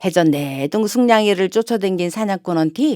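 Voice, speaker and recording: With a Chungcheong accent, a woman speaks at a moderate pace in a fairly low, warm voice with lively intonation. The sound is dry and close with no echo. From Daejeon, Chungcheong region, Korea. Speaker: non-professional local native speaker. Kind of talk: children's fairy tale reading. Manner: warm, friendly.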